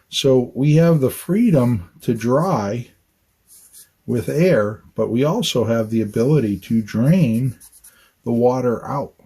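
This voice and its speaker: A man speaks at a very slow pace in a dark, mellow, somewhat breathy tone, with ordinary pitch variation. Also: medium pitch for a man. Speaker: architect. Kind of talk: on-site educational talk. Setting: outdoors on a job site. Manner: conversational, repetitive emphasis.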